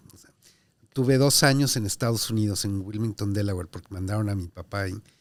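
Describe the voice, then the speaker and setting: A Mexico City accent at a very fast pace, with big swings in loudness, in a very clean recording with a silent background. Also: man, fairly low pitch for a man, ordinary pitch variation. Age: 60s. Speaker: diplomat. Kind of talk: interview. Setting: in person at consulate office.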